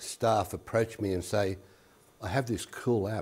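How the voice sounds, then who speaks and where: In an Australian accent, a man speaks with a fairly low, somewhat breathy voice. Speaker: education specialist. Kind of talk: workshop presentation. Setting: workshop room with audience.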